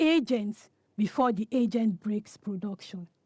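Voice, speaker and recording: Recorded dry and close with no echo, a woman speaks at a fairly slow pace in a dark, mellow tone. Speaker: conference speaker, security architect. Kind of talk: conference talk with Q&A. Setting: stage with audience. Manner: halting, self-correcting.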